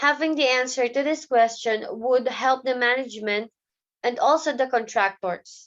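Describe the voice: The tone is fairly bright, with ordinary pitch variation. The pace is moderate. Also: woman, fairly high pitch for a woman.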